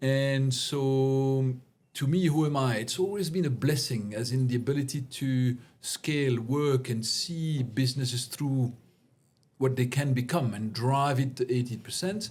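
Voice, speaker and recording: A man speaks at a fairly slow pace with a French accent, his somewhat breathy voice sitting at a medium pitch and showing ordinary pitch variation. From Belgium. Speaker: CEO coach. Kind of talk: interview conversation.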